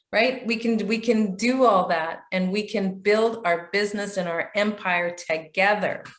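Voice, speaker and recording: With a Canadian accent and fairly even intonation, a woman speaks at medium pitch and a fairly slow pace, with audible room echo. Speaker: business trainer, chamber of commerce president. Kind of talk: training session.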